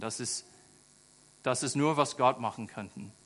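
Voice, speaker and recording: An American accent is heard. It belongs to a man. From rural USA. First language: English (speaking German). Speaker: charity volunteer ambassador, school aide. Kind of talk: sermon. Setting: church. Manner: halting, many fillers.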